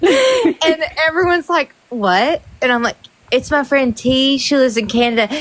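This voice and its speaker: Speaking with a Southern US accent, a woman uses very wide pitch swings at a moderate pace over noticeable background noise. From US South, Kentucky. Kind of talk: casual chat. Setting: livestream.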